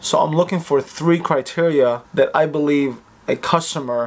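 A man's voice with very even loudness and fairly even intonation. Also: moderate pace. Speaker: vlogger. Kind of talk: casual vlog chat. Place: home room. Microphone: phone near.

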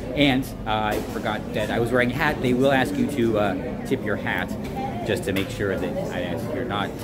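Against clear music in the background, a man speaks at a moderate pace with ordinary pitch variation. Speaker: travel vlogger. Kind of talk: casual vlog chat. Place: station. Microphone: phone near.

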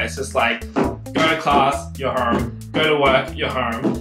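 A man's voice over clear background music. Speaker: law student vlogger. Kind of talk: casual vlog chat. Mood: wry, animated complaining. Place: home room. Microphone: camera far.

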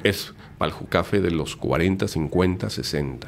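The man's pitch is very deep and low, with ordinary variation. Vocal fry runs through his speech. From Mexico City. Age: 50s. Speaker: lawyer and entrepreneur; lawyer. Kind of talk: casual interview. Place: studio. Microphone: studio mic.

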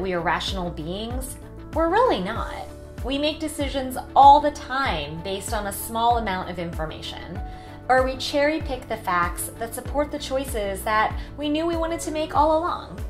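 Clear music sounds in the background. Over it, a woman talks at a moderate pace. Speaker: vlogger. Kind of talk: casual vlog chat. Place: home room.

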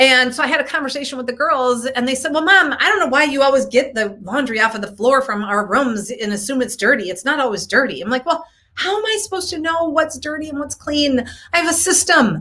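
Raised and projected, a woman's voice races along at a very fast pace with lively intonation. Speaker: coach, show host. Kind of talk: casual live-stream talk. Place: home room. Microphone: webcam.

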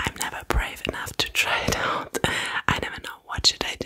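At a moderate pace, a woman speaks in a whisper. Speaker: ASMR content creator. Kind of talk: casual Q&A chat. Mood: a bit foggy, apologetic. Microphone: studio mic.

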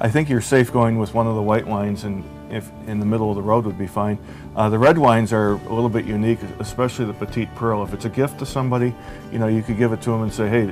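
Over clear music in the background, the speaker talks very fast with ordinary pitch variation. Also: man, fairly low pitch for a man. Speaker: guest. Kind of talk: interview answer. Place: bar. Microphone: lapel.

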